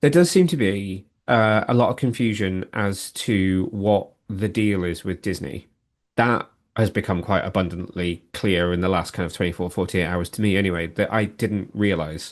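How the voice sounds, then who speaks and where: Against a quiet background, a man with a fairly low pitch and ordinary pitch variation talks at a moderate pace. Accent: British. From UK. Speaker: TV show commentator. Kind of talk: casual podcast discussion.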